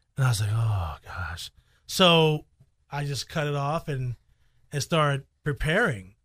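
In a very clean recording with a silent background, a man with an American accent and a fairly high pitch speaks at a fairly slow pace with lively intonation and long, frequent pauses. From Chicago. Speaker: radio broadcaster. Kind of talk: casual interview. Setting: studio.

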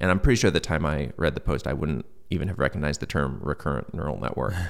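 On a very clean recording with a silent background, a man talks with vocal fry and lively intonation. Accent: American. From US Midwest, Michigan (Troy). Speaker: sci-fi writer. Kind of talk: interview conversation.

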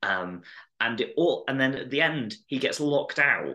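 Bright, sharp tone from a man with vocal fry, medium pitch and lively intonation at a moderate pace, over a quiet background. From north-west England (Chester). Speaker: comedian. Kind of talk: casual chat.

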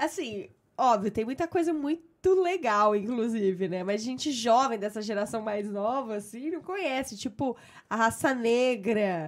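Speaking with a Brazilian accent at a fairly slow pace, the voice has lively intonation on a very clean recording with a silent background. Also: woman, fairly high pitch for a woman. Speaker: podcast host. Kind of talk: casual chat.

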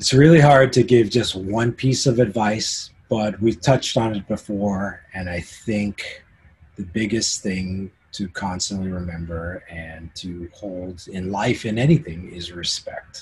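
A somewhat breathy man speaks at a fairly low pitch. His pace is fairly slow. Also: ordinary pitch variation. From Canada. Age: 50s. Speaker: concert photographer. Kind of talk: casual interview.

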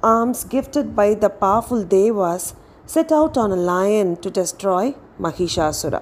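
A woman at a medium pitch with lively intonation and a fairly slow pace. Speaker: storyteller for children. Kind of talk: children's mythic story narration. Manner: animated, expressive storytelling; clear, slow, explanatory pace.

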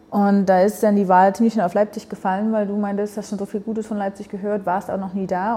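Speaking at a very fast pace, a woman keeps her intonation flat and monotone. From eastern Germany (Berlin / Dresden). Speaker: café owner and coffee roaster. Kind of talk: casual interview.

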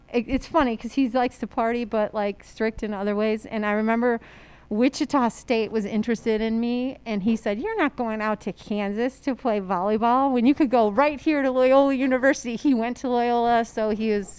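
Speaking with an American accent in a plain, everyday voice, a woman goes at a fairly quick pace with hardly any pauses, her pitch fairly high and her intonation fairly even. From Chicago area, Illinois. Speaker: high school history teacher and volleyball coach. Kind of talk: casual chat.

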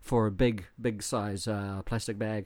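On a very clean recording with a silent background, a man speaks in an animated tone at a fairly slow pace. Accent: New Zealand. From New Zealand. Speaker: podcast co-host, foreigner living in Japan. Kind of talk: casual chat. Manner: animated, joking, swears casually.

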